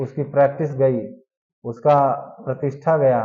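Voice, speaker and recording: A man's fairly high, somewhat breathy voice. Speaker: current affairs teacher for exam aspirants. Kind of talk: lecture.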